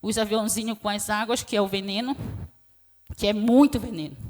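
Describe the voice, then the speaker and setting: She is soft-spoken. The woman's pitch is fairly high. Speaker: quilombola community leader, witness. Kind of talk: testimony.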